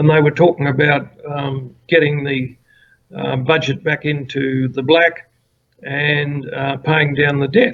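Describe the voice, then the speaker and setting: A man speaks in an Australian accent at a fairly slow pace. His pitch is fairly high and his voice somewhat breathy. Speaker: former political candidate. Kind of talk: interview.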